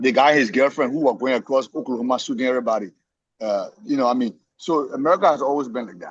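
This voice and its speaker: A man with a non-native accent talks at a very fast pace. His loudness swings widely. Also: medium pitch for a man, ordinary pitch variation. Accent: noticeable foreign. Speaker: immigrant discussion participant. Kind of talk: casual discussion. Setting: somewhere he cannot talk much. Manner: halting, many repetitions.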